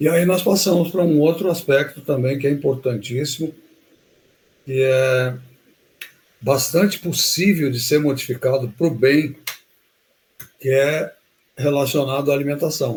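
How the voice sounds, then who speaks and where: Speaking at a fairly slow pace with long, frequent pauses, a man uses a fairly high pitch with ordinary pitch variation and a somewhat breathy quality. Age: 70s. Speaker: health educator. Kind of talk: live webinar talk. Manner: halting.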